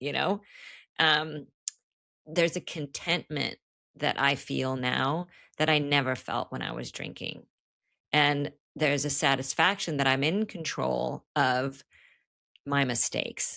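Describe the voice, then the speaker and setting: A woman with a very deep, low pitch, vocal fry and a bright, sharp tone talks at a fairly slow pace with fairly even intonation and long, frequent pauses, in a very clean recording with a silent background. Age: 60s. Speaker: author in recovery. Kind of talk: podcast interview. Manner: casual, conversational.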